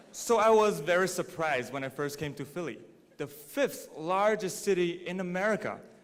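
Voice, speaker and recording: Speaking at a moderate pace with a Mandarin accent, a man uses a high pitch in a space with audible room echo. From China, Dalian. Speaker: graduating student speaker. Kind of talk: commencement speech. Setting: stage with audience.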